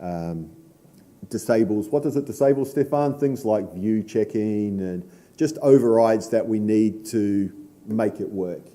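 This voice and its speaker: Speaking at a fairly slow pace, a man with a New Zealand accent has a fairly low, dark and mellow voice with ordinary pitch variation. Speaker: conference speaker, software association board member. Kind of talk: conference talk.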